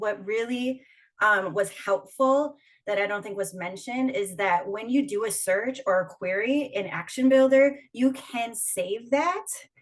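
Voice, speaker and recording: Speaking in a Minnesotan accent, a woman uses a fairly high pitch with ordinary pitch variation and a fairly slow pace. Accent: Minnesota. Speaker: union organizer. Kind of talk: panel discussion. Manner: casual, many fillers.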